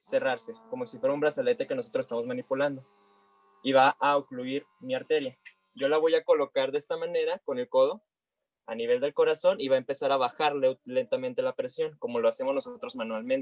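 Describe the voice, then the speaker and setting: Very wide pitch swings mark this man's speech. The sound is dry and close, with no echo. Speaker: health sciences teacher. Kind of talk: online class demonstration.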